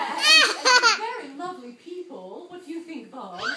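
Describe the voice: In a cartoonish character voice, a woman speaks at an extremely high pitch with very wide swings and a bright, sharp tone. Her pace is moderate, and room echo is audible.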